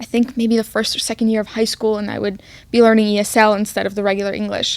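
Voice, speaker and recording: A woman with an Arabic accent speaks at a fairly high pitch in a monotone, flat intonation. The recording is very clean, with a silent background. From Egypt, raised in Queens NY. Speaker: podcast host. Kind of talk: casual chat. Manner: long pauses mid-sentence.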